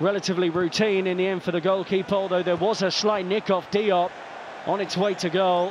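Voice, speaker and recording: Amid noticeable background noise, a man speaks at a fairly quick pace in a high pitch. His intonation is flat and monotone, his loudness very even. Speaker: match commentator. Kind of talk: live sports commentary, call-by-call match narration.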